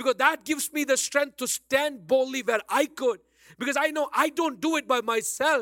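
With an Indian accent, a man speaks at a moderate pace in an extremely high, bright, sharp, animated, raised and projected voice with ordinary pitch variation, in a very clean, silent recording with a dry, close sound and no echo. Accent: Indian English, Bangalore. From Bangalore, India. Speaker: pastor. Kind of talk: sermon. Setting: church. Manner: animated, exhortative.

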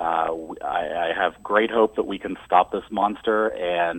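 This man has a very deep, low voice and an American accent. His intonation is monotone and flat. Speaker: environmental organizer. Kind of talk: radio interview.

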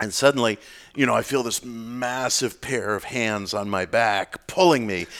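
Recorded very cleanly with a silent background, an ordinary speaking voice with an American accent moves at a moderate pace with ordinary pitch variation. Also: man, medium pitch for a man. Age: 50s. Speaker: author on occult and spirituality. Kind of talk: casual interview conversation.

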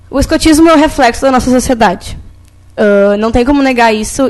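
A woman speaks high and at a fairly quick pace. Noticeable background noise sits behind her. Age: young. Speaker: scout volunteer. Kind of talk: panel discussion. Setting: studio.

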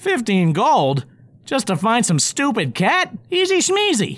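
A put-on character voice, fairly high in pitch, with very wide pitch swings and a fairly slow pace. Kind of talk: comic audio drama acting. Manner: eager, pleading, then cocky.

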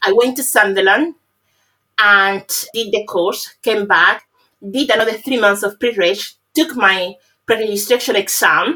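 A woman's fairly high, bright, sharp voice in a Spanish accent, with ordinary pitch variation and long, frequent pauses. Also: fairly slow pace. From Cuba. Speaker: pharmacist. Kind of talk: interview.

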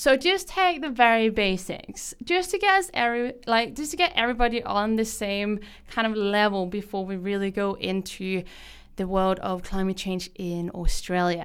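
Recorded very cleanly against a silent background, a woman speaks at a fairly slow pace with very wide pitch swings. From Denmark. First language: Danish. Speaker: podcast host. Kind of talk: radio show presentation. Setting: radio studio. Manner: frequent filler words, casual.

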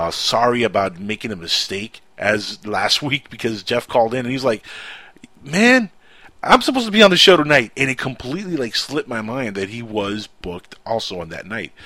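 This man's medium-pitched voice has a bright, sharp tone. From Cuba. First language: Spanish. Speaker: radio host. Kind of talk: casual chat. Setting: studio.

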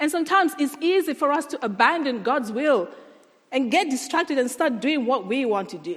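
Speaking with a non-native accent, a woman uses a high pitch and lively intonation at a fairly quick pace. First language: not English. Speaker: guest preacher. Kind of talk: sermon. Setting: church.

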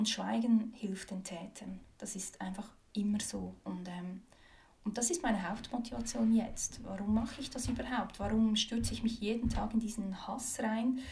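A woman with a fairly high pitch and a dark, mellow tone speaks at a moderate pace with vocal fry, fairly even intonation, big swings in loudness and audible room echo. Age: 30s. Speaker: activist, former politician. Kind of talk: interview. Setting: her office. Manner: hesitant, many fillers.

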